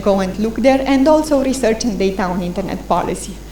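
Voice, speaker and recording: A woman's fairly high voice at a very fast pace, with audible room echo and noticeable background noise. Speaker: internet policy presenter. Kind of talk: conference presentation.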